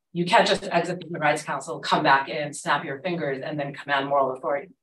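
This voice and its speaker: A woman with a very deep, low pitch, very fast and fairly even in intonation, with audible room echo and light background noise. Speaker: Middle East scholar; panelist. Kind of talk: academic panel talk. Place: classroom.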